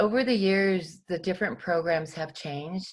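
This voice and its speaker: A woman speaks at a fairly low pitch, her voice somewhat breathy. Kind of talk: presentation to a class. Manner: halting, many fillers.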